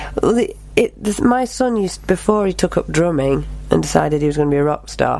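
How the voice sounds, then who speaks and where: Noticeable background noise accompanies the speech. It runs at a very fast pace. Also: woman. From England, Cheshire (Knutsford). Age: 40s. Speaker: performing arts teacher and tribute singer. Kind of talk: casual interview.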